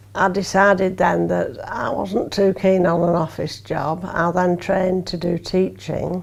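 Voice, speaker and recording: Speaking at a fairly slow pace with hardly any pauses, a woman with a fairly low pitch keeps fairly even intonation over noticeable background noise. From Lancashire, Preston. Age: 60s. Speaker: retired teacher. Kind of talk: documentary interview.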